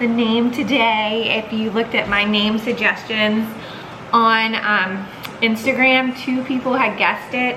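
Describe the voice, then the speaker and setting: A woman's high-pitched voice at a fairly slow pace, with audible room echo and noticeable background noise. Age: 30s. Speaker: vlogger. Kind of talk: casual chat.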